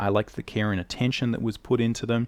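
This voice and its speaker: Speaking with an Australian accent, a man uses a fairly low pitch. The background is quiet. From Australia, not a big city. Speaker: artist and drawing teacher. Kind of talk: educational talk to camera.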